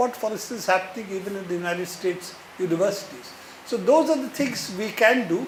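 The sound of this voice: The speech moves at a fairly quick pace with ordinary pitch variation. Room echo is audible. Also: man, high pitch for a man.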